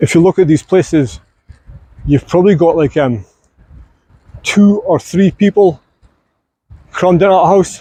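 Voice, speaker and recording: A man with a slight Scottish accent speaks at a moderate pace and high pitch, using long, frequent pauses, ordinary pitch variation, very even loudness and a dark, mellow tone. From Scotland. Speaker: vlogger. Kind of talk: casual vlog narration. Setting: outdoors.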